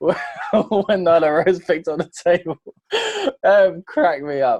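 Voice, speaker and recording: In a British accent, a man speaks at a fairly slow pace with a high pitch and ordinary pitch variation, the sound dry and close with no echo. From Britain. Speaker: wrestling podcast host. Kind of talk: casual chat.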